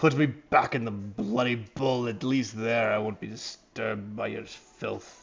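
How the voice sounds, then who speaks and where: Putting on a raspy, growling character voice at medium pitch, a man talks at a moderate pace with hardly any pauses. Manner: grumpy, disgusted.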